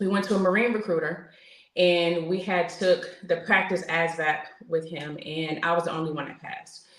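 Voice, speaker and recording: A woman with a New York accent speaks at a moderate pace and a fairly low pitch, her loudness swinging widely. Noticeable background noise and audible room echo fill the recording. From New York (Queens). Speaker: military veteran. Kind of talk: interview testimony. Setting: podcast interview.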